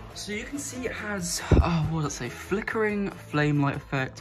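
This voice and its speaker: The speaker keeps a moderate pace while music is clearly heard in the background. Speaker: hobbyist reviewer. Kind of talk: casual unboxing commentary. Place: home room. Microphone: phone near.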